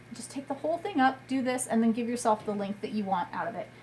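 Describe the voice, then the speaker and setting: A woman's voice is heard. Behind her there is noticeable background noise. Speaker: clothing seller. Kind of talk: tutorial. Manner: fast.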